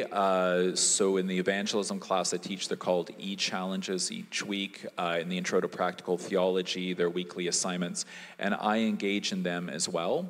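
A man speaks with a Canadian accent. His pitch is very deep and low. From Canada, Winnipeg. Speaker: theology professor. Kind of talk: live conversation with audience.

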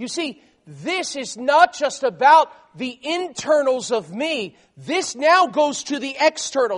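Speaking at a very slow pace, a man with an American accent has an extremely high pitch, lively intonation and big swings in loudness. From South Florida. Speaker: missionary preacher. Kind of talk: sermon. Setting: church.

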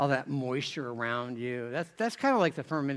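A man speaks in a normal speaking voice at a fairly quick pace, with lively intonation. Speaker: pastor. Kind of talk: sermon. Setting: church. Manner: informal, humorous.

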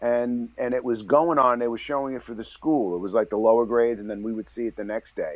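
Speaking with a New York accent, a man goes at a very fast pace with hardly any pauses. His intonation stays fairly even. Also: medium pitch for a man. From New York City (the Bronx). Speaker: novelist and screenwriter. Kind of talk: interview.

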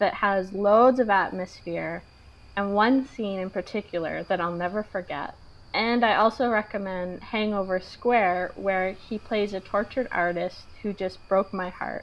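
With an unremarkable speaking voice, a woman talks fairly slowly at a medium pitch, her pitch varying in an ordinary way. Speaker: podcast co-host. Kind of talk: casual chat.

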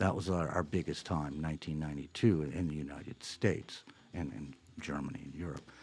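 A man speaks at a moderate pace with a very deep, low pitch and vocal fry. His loudness swings widely. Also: ordinary pitch variation. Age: 60s. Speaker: singer-songwriter, band frontman. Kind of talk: interview.

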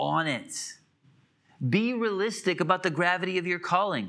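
Raised and projected, a man's high-pitched voice carries a bright, sharp tone at a fairly slow pace in a very clean recording with a silent background. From US Midwest (Illinois). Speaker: pastor. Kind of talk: sermon. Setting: church.

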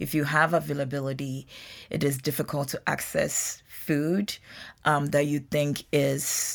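A woman's voice carries vocal fry and a very deep, low pitch. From Ghana. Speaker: nutrition professor. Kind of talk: interview.

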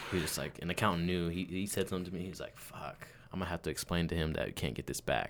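Talking at a very fast pace, a man uses a very deep, low pitch with vocal fry and fairly even intonation. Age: 20s. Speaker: personal assistant to a CEO. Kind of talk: casual chat.

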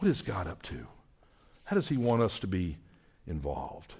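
A man with a Southern US accent, very deep, low pitch, vocal fry, very wide pitch swings and a moderate pace. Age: 60s. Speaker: missions ministry leader. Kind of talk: sermon. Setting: church.

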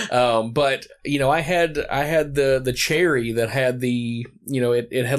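An ordinary speaking voice at a moderate pace with fairly even intonation, captured in a very clean recording against a silent background. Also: man. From US South, Morristown, Tennessee. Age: 30s. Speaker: podcast host. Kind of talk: casual chat.

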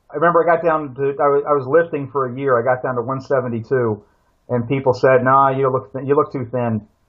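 In a plain, everyday voice, a man with an American accent speaks at a fairly quick pace, with medium pitch and fairly even intonation. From Pennsylvania, US. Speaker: survival instructor and author. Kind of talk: casual interview.

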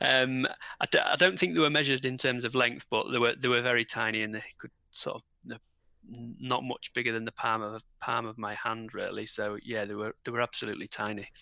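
A man with a northern English accent talks at a fairly quick pace in a medium pitch with fairly even intonation. His tone is bright and sharp, and the sound is dry and close with no echo. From northern England. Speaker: parent of premature twins. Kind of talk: interview.

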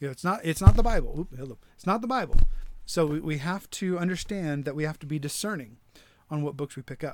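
A man with an American accent at a fairly high pitch, his lively intonation and very fast pace captured in a very clean recording with a silent background. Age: 30s. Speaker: pastor. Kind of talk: solo podcast teaching talk. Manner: halting, many fillers and restarts.

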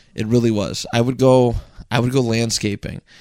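A man speaks in a normal speaking voice with fairly even intonation. The recording is very clean, with a silent background. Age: 20s. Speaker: podcaster. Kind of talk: casual chat. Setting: home podcast studio.

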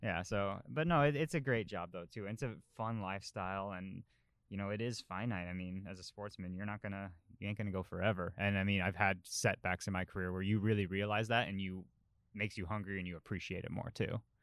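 Very fast speech comes from a man with an American accent and ordinary pitch variation. The recording is very clean, with a silent background. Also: fairly low pitch for a man. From Colorado, US. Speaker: professional cyclist. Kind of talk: casual chat.

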